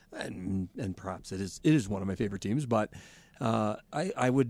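A man speaks in an ordinary speaking voice with a Canadian accent. His medium pitch shows ordinary variation at a fairly quick pace. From Canada. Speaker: sports podcast co-host. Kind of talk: casual chat.

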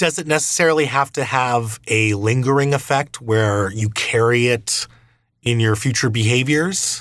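An unremarkable speaking voice from a man: medium pitch, moderate pace, ordinary pitch variation. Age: 30s. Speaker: podcast host. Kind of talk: interview conversation. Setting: video call.

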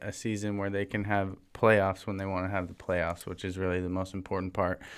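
Barely pausing, a man speaks in a monotone, flat way on a very clean recording with a silent background. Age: young. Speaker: sports podcast co-host. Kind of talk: casual chat. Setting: studio.

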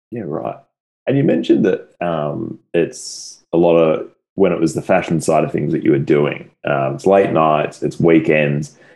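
With an Australian accent, a man talks at a fairly slow pace. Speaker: podcast host. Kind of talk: casual interview chat.

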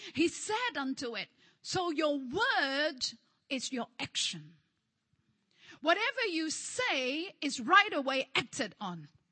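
At a very slow pace with long, frequent pauses, a woman speaks in a high voice that swings very widely in pitch. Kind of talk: sermon, preacher in full flow. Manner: call-and-response, rhythmic, repeating phrases with rising intensity; animated, exhortative, prompting the congregation to say amen.

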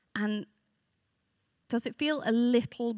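A woman speaks with a London accent and ordinary pitch variation. The sound is dry and close with no echo, on a very clean recording with a silent background. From North London. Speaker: speaker at church event. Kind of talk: talk at church gathering. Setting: room with live audience.

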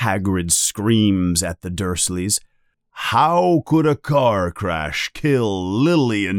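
The background stays quiet while an unforced reading voice reads with lively intonation.

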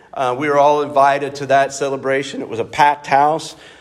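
With audible room echo, a man speaks at a moderate pace in a fairly high pitch. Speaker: pastor. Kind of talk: sermon. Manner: loud, projecting; halting, many fillers. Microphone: no microphone, unamplified.

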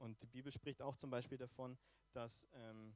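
Fairly even intonation marks this man's speech at a medium pitch. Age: 30s. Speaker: preacher. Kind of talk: sermon. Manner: hesitant, many filler sounds.

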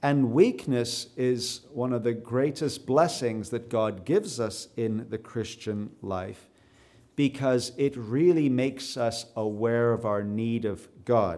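A man with a Canadian accent speaks at a very slow pace in a dark, mellow tone at medium pitch, with ordinary pitch variation. The recording is very clean, with a silent background. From South Africa. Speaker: preacher. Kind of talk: sermon. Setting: church.

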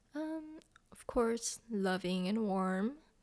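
A woman speaks with a Korean accent. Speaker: pastor's wife, church member.

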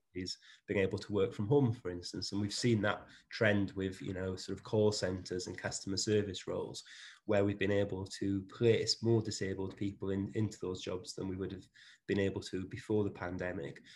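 A man's fairly low, somewhat breathy voice with a Welsh accent, fairly even intonation and a moderate pace, on a very clean recording with a silent background. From South Wales. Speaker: managing director of a services company. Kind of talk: interview conversation.

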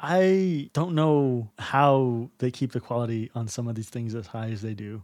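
In an unremarkable speaking voice, a man with an American accent talks at a fairly slow pace with hardly any pauses, his medium pitch showing ordinary variation, the sound dry and close with no echo against a quiet background. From Texas. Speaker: podcast co-host. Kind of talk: casual chat.

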